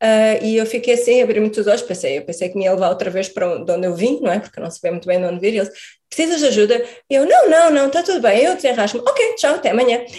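Speaking at a very fast pace, a woman with a fairly high pitch makes very wide pitch swings. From Portugal. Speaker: emigrant biochemist. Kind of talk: interview.

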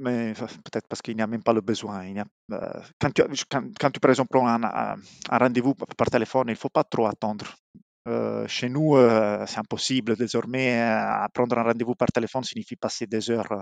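A man with an Italian accent talks at a moderate pace and medium pitch, his intonation fairly even. The sound is dry and close, with no echo. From southern Italy, Apulia. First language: Italian (speaking French). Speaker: mechanical engineer. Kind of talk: interview. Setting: remote call. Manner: halting.

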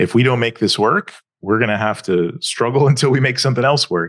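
An American accent over a quiet background. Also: man. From US South, Atlanta, Georgia. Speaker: startup founder. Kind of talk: podcast interview.

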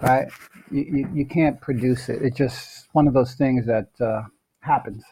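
A man with an American accent speaks at a fairly slow pace in a medium pitch. His voice is somewhat breathy, with fairly even intonation. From North New Jersey. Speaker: actor. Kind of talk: interview.

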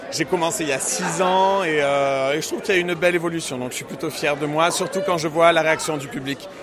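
Over noticeable background noise, a man with a high voice talks at a fairly quick pace with hardly any pauses and ordinary pitch variation. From Marseille, southern France. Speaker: drag queen, cabaret singer. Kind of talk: interview. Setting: live event venue.

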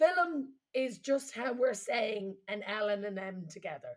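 A woman with a slight Irish accent swings her pitch very widely. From Ireland. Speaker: comedian and podcast host. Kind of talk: casual comedic chat.

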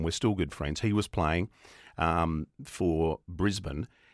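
With an Australian accent, a man talks at a fairly slow pace in a very deep, low pitch, with ordinary pitch variation and a dry, close sound with no echo. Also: very clean recording, silent background. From Australia, Melbourne (Coburg). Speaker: radio presenter. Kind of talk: interview. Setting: studio.

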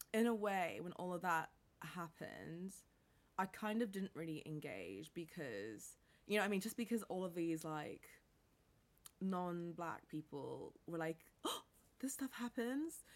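With an American accent, a woman talks at a fairly slow pace and a fairly low pitch, pausing long and often. Her tone is animated and her intonation lively. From international upbringing: New York, Caribbean, Bangkok, then England. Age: 20s. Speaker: entrepreneur. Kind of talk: casual interview chat. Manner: animated, many fillers and laughs.

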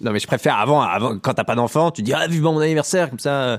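A man talks at a very fast pace. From rural Lower Normandy, France. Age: 30s. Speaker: comedian. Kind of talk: casual interview.

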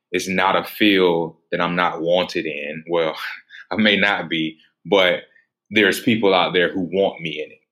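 On a very clean recording with a silent background, a man with a very deep, low pitch and a bright, sharp tone speaks fairly slowly with fairly even intonation. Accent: American. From US South, Atlanta, Georgia. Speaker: nurse anesthesia student and former paramedic. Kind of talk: casual interview.

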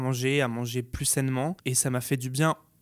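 A man talks at a fairly quick pace with a medium pitch. His intonation is monotone and flat, and the recording is very clean with a silent background. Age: 20s. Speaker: beauty YouTuber. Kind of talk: interview testimony.

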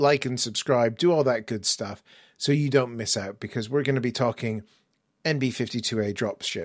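In a very clean recording with a silent background, a man with an English accent speaks with ordinary pitch variation. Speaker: podcast host. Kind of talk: casual interview chat.

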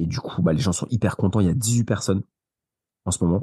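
Dry and close with no echo, a man's dark, mellow voice sits fairly low in pitch with ordinary pitch variation. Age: 30s. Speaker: property investor. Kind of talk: interview. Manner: animated.

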